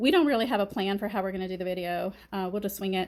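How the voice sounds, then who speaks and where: Very clean recording with a silent background, featuring a woman with a Kentucky accent at a medium pitch. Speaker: gardening vlogger. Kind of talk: casual chat.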